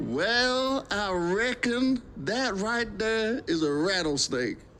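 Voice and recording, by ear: This is a put-on character voice, drawling in a Texan accent at a fairly high pitch and a very slow pace. Clear background noise can be heard.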